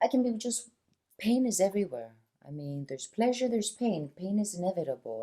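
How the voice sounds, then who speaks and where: A soft-spoken woman talks at a fairly quick pace. Her tone is dark and mellow, with very wide pitch swings. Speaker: wellness practitioner. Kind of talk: casual conversation.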